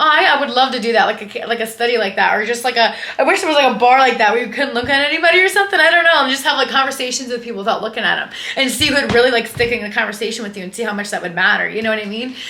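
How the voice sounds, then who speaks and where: Loud and animated, a woman talks very fast in a high voice with lively intonation and hardly any pauses, with audible room echo and noticeable background noise. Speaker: lifestyle and fitness influencer. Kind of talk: casual vlog monologue.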